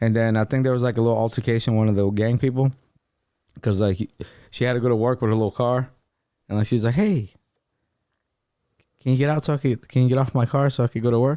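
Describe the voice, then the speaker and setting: With a Spanish accent, a man talks very fast in a medium pitch and a dark, mellow tone, his loudness very even and his intonation fairly even, with long, frequent pauses in a dry, close sound with no echo. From Louisiana, New Orleans area (Marrero). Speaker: podcast guest. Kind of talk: casual chat.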